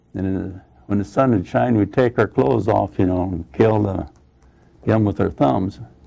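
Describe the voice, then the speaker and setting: With an American accent, a man speaks in a dark, mellow tone at a fairly low pitch, with vocal fry. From Iowa, USA. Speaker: Korean War veteran and former prisoner of war. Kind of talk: oral history interview answer.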